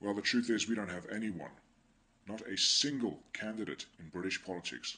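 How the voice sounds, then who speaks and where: With an English accent, a man speaks at a fairly quick pace in a very deep, low pitch, his tone bright and sharp and his pitch variation ordinary. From England. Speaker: political commentator vlogger. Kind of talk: monologue commentary.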